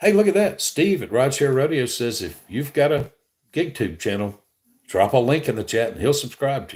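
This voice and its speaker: The speaker has a Southern US accent and vocal fry. The pitch swings very widely. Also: man. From Alabama. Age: 60s. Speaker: gig delivery streamer. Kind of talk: live stream chat. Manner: casual, conversational.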